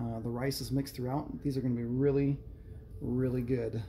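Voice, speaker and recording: A man speaks in a monotone, flat intonation against light background noise. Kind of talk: tutorial. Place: kitchen. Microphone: phone near.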